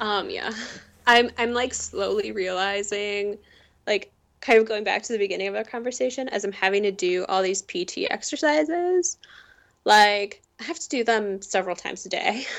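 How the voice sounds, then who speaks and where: With lively intonation, a normal speaking voice proceeds at a moderate pace. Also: woman, medium pitch for a woman. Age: 20s. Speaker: chronic illness patient advocate. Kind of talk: casual interview chat.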